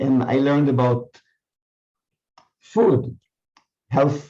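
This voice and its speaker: A man speaks very slowly at a medium pitch. His tone is dark and mellow, and somewhat breathy. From Israel. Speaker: mindfulness teacher. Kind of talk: casual chat. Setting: video call.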